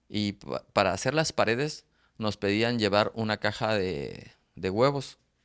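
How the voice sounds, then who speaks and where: Fairly slow pace, pitch varying in an ordinary way. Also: man. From Mexico, Oaxaca. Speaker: author. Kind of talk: interview. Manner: halting, many repeated syllables.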